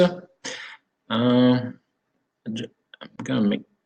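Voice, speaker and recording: Audible room echo surrounds a speaker with a French accent talking at a fairly slow pace. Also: man. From France. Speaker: sommelier and wine consultant. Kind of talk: webinar presentation. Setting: online video conference. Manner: halting, many fillers.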